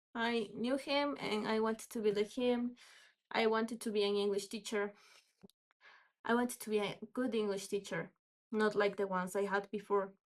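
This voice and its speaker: A woman's fairly high voice with fairly even intonation, at a moderate pace broken by long, frequent pauses. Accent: Spanish. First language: Spanish. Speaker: English teacher. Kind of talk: casual storytelling vlog. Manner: halting, unscripted with fillers.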